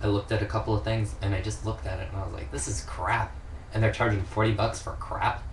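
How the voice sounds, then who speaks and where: Over noticeable background noise and audible room echo, a man with an American accent and a fairly low pitch talks at a very fast pace with lively intonation. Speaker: vlogger. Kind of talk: casual monologue. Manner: rambling, hesitant with fillers.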